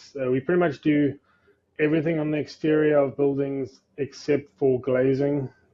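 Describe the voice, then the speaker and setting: In a South African accent, a man speaks at a moderate pace. His intonation is monotone and flat. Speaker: facade company executive. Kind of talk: podcast interview. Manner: hesitant, many fillers.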